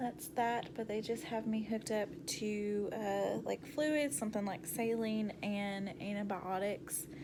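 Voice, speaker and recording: Speaking very slowly, a woman uses a medium pitch. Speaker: vlogger. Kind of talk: casual vlog. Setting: hospital room.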